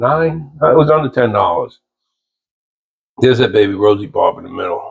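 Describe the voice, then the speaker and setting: At a moderate pace but with long, frequent pauses, a man talks in a somewhat breathy voice of medium pitch and ordinary pitch variation. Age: 60s. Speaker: aquarium hobbyist vlogger. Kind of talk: casual video narration. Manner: casual, rambling with hesitations.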